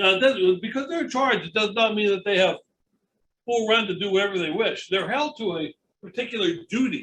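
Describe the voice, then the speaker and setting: Raised and projected, a man's high voice with a western Pennsylvania accent sounds bright and sharp, with lively intonation at a fairly quick pace. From Pittsburgh, Pennsylvania. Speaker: estate lawyer. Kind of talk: lecture. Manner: fast.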